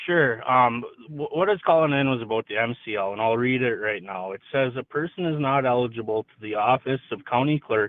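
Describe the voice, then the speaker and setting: Talking at a fairly quick pace with hardly any pauses, a man keeps a medium pitch with ordinary variation while his loudness swings widely. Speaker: caller. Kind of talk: phone call-in question. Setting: phone call.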